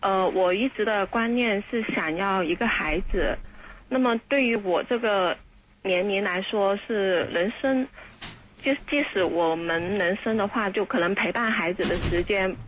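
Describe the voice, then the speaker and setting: A woman with a plain, everyday voice speaks at a medium pitch and a fairly slow pace, showing ordinary pitch variation and very even loudness. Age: 40s. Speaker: radio call-in listener. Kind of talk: call-in conversation.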